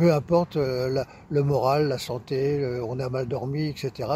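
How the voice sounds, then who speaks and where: Somewhat breathy and dark, mellow in tone, a man speaks at a fairly high pitch with fairly even intonation. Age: 70s. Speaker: practitioner giving a testimonial. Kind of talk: interview testimony. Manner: halting, many hesitations.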